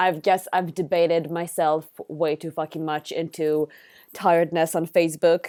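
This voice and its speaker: Moderate pace in an Israeli accent, flat and monotone, with a dry, close sound and no echo. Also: woman, fairly low pitch for a woman. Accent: Israeli accent, often mistaken for American. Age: 20s. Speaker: streamer. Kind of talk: casual live stream chat. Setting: live stream.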